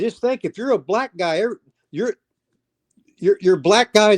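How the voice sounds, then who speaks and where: With an American accent, a man speaks at a high pitch and a moderate pace. His intonation is lively, and the sound is dry and close with no echo. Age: 70s. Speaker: retired pro wrestler and wrestling trainer. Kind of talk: casual interview chat. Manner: halting, many restarts; animated, profane.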